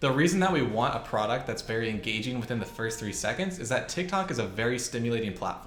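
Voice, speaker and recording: Talking at a very fast pace with lively intonation, a man hardly pauses at all. Light background noise and audible room echo are present. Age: 20s. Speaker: e-commerce entrepreneur; e-commerce youtuber. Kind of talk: tutorial.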